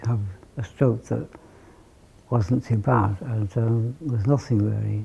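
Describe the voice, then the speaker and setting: A man speaks at medium pitch with a dark, mellow tone. His voice is somewhat breathy. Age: 60s. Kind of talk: testimony. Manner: halting.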